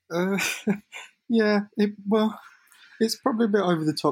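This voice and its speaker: A man is speaking. His voice is somewhat breathy. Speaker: former football club social media manager. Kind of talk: casual chat.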